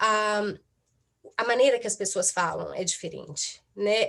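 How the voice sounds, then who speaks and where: Speaking with a Brazilian accent, a woman talks at a fairly slow pace and a fairly high pitch. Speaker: psychotherapist. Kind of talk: talk at online event. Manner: halting, many fillers.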